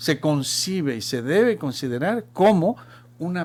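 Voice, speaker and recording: A man speaks with a Chilean accent. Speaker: marketing professional and teacher. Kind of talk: radio talk show discussion. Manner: halting.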